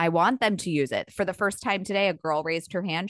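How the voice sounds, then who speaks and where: A woman talks at a fairly quick pace in an unremarkable speaking voice of medium pitch, the sound dry and close with no echo. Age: 30s. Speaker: podcast host and teacher. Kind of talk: casual chat.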